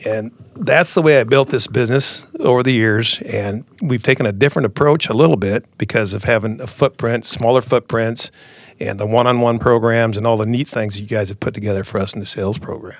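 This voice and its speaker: A medium-pitched man with a US Midwestern accent, fairly quick pace and ordinary pitch variation. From rural Iowa, US Midwest. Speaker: seed sales representative. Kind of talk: interview.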